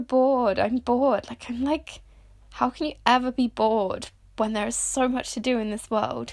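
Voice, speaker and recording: With a British accent, a woman talks at a moderate pace and fairly even intonation on a very clean recording with a silent background. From Britain. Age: 20s. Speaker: podcast host. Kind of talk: solo monologue. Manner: halting with frequent fillers; casual and conversational.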